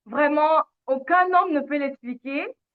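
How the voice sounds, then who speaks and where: Someone with a slight French accent talks at a very slow pace. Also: woman. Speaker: lifestyle channel host. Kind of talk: live stream conversation.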